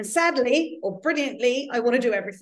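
A woman speaks in a high voice. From London. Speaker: author. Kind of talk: casual interview chat.

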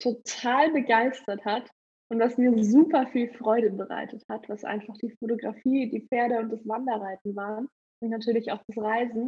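A woman speaks slowly-ish, at a fairly slow pace, in a fairly high, dark and mellow voice with fairly even intonation. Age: 20s. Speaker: photographer and horse trainer. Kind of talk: interview outtakes.

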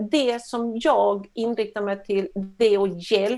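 With an ordinary speaking voice, a woman talks at a fairly slow pace, medium pitch and ordinary pitch variation. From Sweden. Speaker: coach. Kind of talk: interview.

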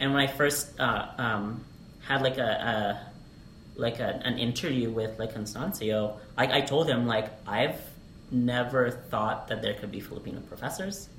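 Noticeable background noise behind a man with an American accent, at a fairly slow pace and with ordinary pitch variation. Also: medium pitch for a man. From Alaska. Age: 20s. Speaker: English teacher. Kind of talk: casual chat.

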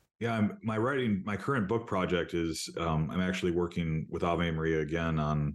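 A man with an American accent has a very deep, low pitch. He speaks at a moderate pace against a quiet background. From rural Wisconsin, US Midwest. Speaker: professor and author. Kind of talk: interview conversation.

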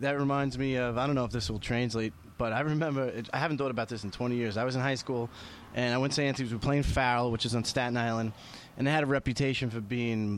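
A man with a New York accent talks at a very fast pace. His pitch sits in the medium range, and his intonation stays fairly even. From Queens, New York. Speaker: podcast host. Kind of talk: casual chat.

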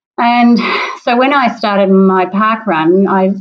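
Medium-pitched female speech in an Australian accent with ordinary pitch variation. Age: 60s. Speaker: parkrunner. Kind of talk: interview.

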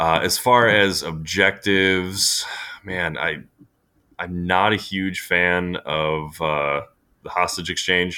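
A very slow, very deep male voice in an American accent, bright and sharp in tone, with fairly even intonation. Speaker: gaming podcaster and tabletop player. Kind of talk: casual chat.

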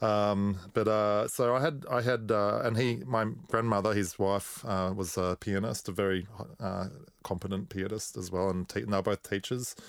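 With an Australian accent, a man talks at a moderate pace. His pitch is fairly low, with ordinary pitch variation. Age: 40s. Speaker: musician and record producer. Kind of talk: casual chat.

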